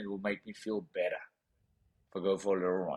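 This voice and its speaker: This man speaks at a very fast pace in a South African accent. His intonation is lively. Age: 30s. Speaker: professional boxer. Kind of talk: interview storytelling. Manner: animated.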